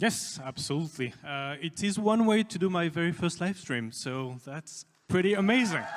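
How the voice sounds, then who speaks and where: Speaking with a French accent, a man uses a high pitch and lively intonation. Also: moderate pace, hardly any pauses. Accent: French-sounding. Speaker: game studio executive. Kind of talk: livestream presentation. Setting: livestream. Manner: soft-spoken. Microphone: quiet mic.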